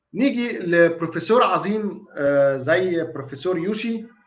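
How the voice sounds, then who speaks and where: A man talks in a high voice. His intonation is lively. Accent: Egyptian. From Egypt. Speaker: dentist lecturer. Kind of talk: online lecture. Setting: live online stream. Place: home room. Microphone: webcam.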